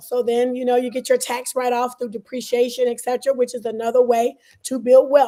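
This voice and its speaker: A woman with a Southern US accent speaks in a high voice with a dark, mellow tone. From US South, Birmingham, Alabama. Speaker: entrepreneur and investor. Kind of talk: interview.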